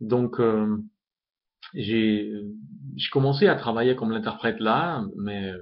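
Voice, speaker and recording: Very slowly, a man talks in a fairly low register. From Uzbekistan. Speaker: language tutor. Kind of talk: self-introduction video. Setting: webcam recording. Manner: halting, many hesitations. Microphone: built-in laptop webcam mic.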